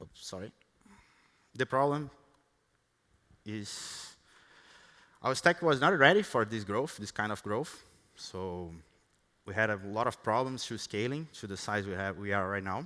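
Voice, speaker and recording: A man's fairly low voice in a Brazilian Portuguese accent, with a bright, sharp tone, lively intonation, big swings in loudness, and a fairly slow pace broken by long, frequent pauses. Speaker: software engineer. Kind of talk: conference talk. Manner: halting, many fillers and restarts.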